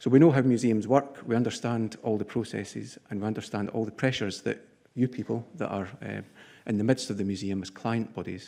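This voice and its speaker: With a Scottish accent, a man of medium pitch talks fairly quickly in a dark, mellow tone, keeping his intonation fairly even. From Scotland. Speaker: structural engineer, conference sponsor speaker. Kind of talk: conference address. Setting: conference podium with audience.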